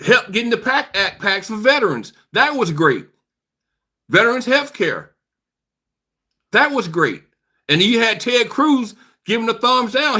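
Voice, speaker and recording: A man with an American accent uses a raised, projected voice at an extremely high pitch, bright and sharp in tone, at a fairly slow pace on a very clean recording with a silent background. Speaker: political commentary streamer. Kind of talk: live stream chat responding to viewers. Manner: animated.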